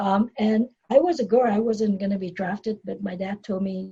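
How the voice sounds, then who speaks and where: A woman speaks in a Vietnamese accent at a medium pitch. Her tone is dark and mellow, and somewhat breathy. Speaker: dentist and business coach. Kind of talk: podcast interview, personal story. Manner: hesitant with fillers and repetitions.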